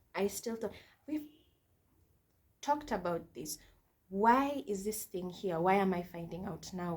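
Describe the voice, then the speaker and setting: Somewhat breathy, a woman speaks at medium pitch. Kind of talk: testimony.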